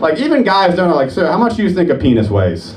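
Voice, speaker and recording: Over noticeable background noise and audible room echo, a man talks at a fairly quick pace with very wide pitch swings. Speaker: stand-up comedian. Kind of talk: stand-up. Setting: stage with audience.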